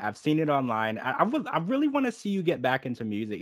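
The background is silent and the recording very clean. A man talks in a Southern US accent. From Louisiana. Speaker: podcast host. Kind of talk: casual interview.

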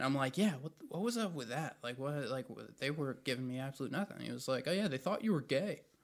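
A man speaks at a very fast pace in an American accent, his pitch fairly high. His intonation is lively, with hardly any pauses. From North Carolina (Raleigh). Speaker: aspiring comedian. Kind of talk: casual chat. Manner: halting, many fillers.

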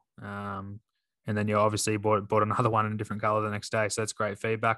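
Over a quiet background, a man with an Australian accent and a fairly low pitch speaks at a very fast pace in a bright, sharp tone. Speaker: golf podcast co-host, scratch golfer. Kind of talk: casual chat.

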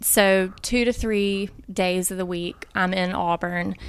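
Speaking with an Alabama accent at a fairly slow pace, a woman with medium pitch is heard on a very clean recording with a silent background. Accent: Southern US (Alabama). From US South, Montgomery, Alabama. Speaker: pharmacy professor and pastor's wife. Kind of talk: interview. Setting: in person.

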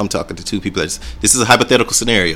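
A man with a Southern US accent speaks over music in the background. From Alabama. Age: 30s. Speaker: personal trainer. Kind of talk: casual chat.

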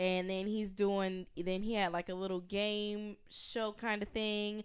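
A woman with an American accent has an unremarkable speaking voice at medium pitch, heard on a very clean recording with a silent background. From US South, Georgia. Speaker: podcast guest, journalist. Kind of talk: casual chat.

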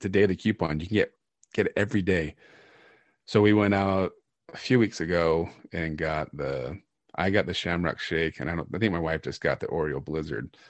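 Very deep and low, a man's voice moves at a moderate pace. His pitch varies in an ordinary way. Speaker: podcast host. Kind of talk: casual chat.

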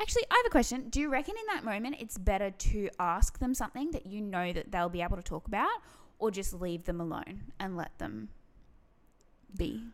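A woman with an Australian accent, lively intonation and long, frequent pauses. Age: 20s. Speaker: podcast co-host. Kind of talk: casual chat.

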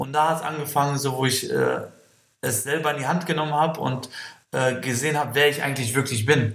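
Audible room echo surrounds the voice. The delivery is moderate in pace, with fairly even intonation. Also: man. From Kosovo. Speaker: breakdancer. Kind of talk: interview. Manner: hesitant with fillers.

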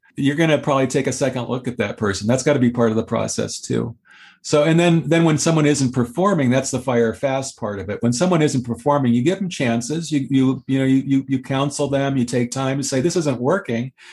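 A man with a plain, everyday voice speaks at a fairly quick pace, with a medium pitch and ordinary pitch variation. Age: 60s. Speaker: author and ghostwriter. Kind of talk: interview. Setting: video call.

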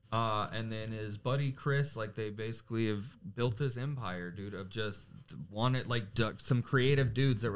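In a plain, everyday voice, a man talks at a medium pitch and moderate pace with fairly even intonation. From Florida (Gainesville area). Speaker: comedian and podcast host. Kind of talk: casual chat.

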